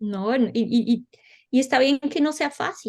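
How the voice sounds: Speaking with a Colombian accent, a woman uses a high pitch, ordinary pitch variation and a slightly mellow tone at a fairly slow pace.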